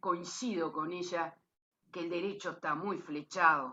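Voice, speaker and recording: A woman's plain, everyday voice at a fairly slow pace. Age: 60s. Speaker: lawyer and cooperative member. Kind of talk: closing remarks at a talk.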